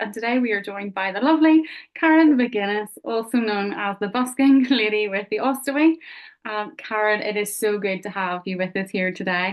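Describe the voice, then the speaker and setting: A woman with a Belfast accent speaks at a fairly quick pace, her fairly high pitch showing ordinary variation. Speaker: podcast host. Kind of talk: interview.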